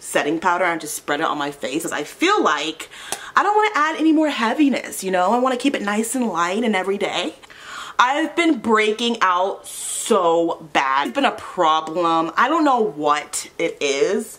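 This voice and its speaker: A woman at a medium pitch and moderate pace, with very wide pitch swings and noticeable background noise. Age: 20s. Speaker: beauty vlogger. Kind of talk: casual chat.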